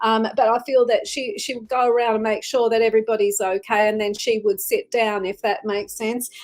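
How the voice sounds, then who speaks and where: A woman with an Australian accent speaks at a fairly quick pace in a fairly high pitch with a warm tone. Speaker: psychic medium, tarot reader. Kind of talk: live-stream psychic reading. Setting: live stream. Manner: warm, chatty with many fillers.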